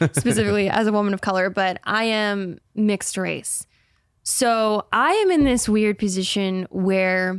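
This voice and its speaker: A woman with an American accent speaks at a medium pitch with fairly even intonation. The recording is very clean, with a silent background and a dry, close sound that has no echo. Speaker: actress and video creator. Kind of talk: casual interview chat. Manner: halting.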